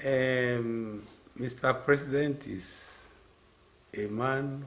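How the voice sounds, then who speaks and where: Speaking at a very slow pace, a man of medium pitch keeps a fairly even intonation over noticeable background noise. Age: 80s+. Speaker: maritime industry veteran. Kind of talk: radio interview.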